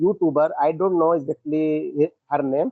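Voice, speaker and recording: A man talks at a very slow pace. His pitch varies in an ordinary way. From India, Uttar Pradesh. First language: Hindi. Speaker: English learner. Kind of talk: casual chat. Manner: halting.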